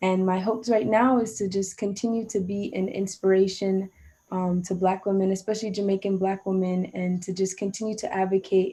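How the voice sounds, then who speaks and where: A woman's somewhat breathy, dark and mellow voice at medium pitch, delivered at a fairly quick pace. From Jamaica. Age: 20s. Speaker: saxophonist and music student. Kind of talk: interview. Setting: video call.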